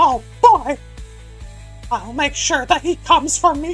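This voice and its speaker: Clear background music under a put-on character voice moving fairly slowly. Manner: cartoonish.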